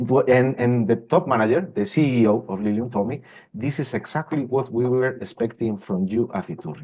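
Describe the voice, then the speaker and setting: A man with a strong Spanish accent talks at a fairly quick pace with lively intonation. His pitch sits at a medium level. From Spain. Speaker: industrial systems manager. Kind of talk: interview. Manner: halting, with repetitions.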